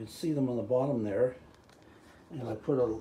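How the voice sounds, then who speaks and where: A man speaks at a medium pitch in a dark, mellow, somewhat breathy tone. His pitch varies in an ordinary way, with audible room echo. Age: 70s. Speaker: DIY home renovator. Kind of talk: DIY video diary. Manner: casual, halting.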